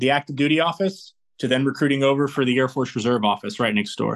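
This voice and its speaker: A man's plain, everyday voice at medium pitch, fairly quick in pace, with fairly even intonation. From Indiana, US Midwest (born in New Zealand). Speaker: military recruiter. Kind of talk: interview.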